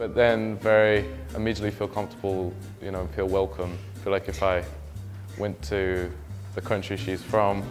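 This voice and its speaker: Over music in the background, a man with an English accent speaks in a fairly low voice with fairly even intonation, leaving long, frequent pauses. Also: moderate pace. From England. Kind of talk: interview answer.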